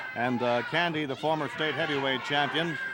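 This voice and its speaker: A moderate pace over noticeable background noise. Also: man. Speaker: wrestling TV announcer. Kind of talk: live sports play-by-play commentary.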